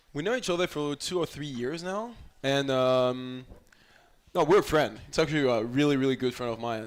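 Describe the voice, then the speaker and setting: Fairly high pitch from a man, a moderate pace, and ordinary pitch variation. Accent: French. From France. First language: French. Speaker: college volleyball player. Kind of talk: interview. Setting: live show in a restaurant.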